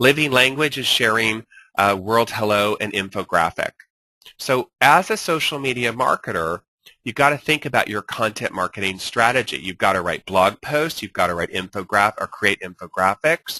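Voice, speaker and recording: A man speaks with a bright, sharp tone at a medium pitch. His intonation is lively. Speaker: social media marketing instructor. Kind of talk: webinar lecture. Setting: online webinar with screen share. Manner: fast; animated.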